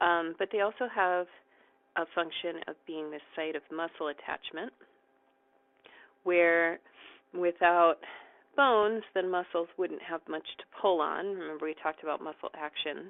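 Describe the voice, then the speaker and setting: At a fairly slow pace with long, frequent pauses, a woman speaks at a fairly low pitch with ordinary pitch variation. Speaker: college anatomy instructor. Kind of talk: recorded lecture. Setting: recorded video lecture while writing. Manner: hesitant, frequent ums.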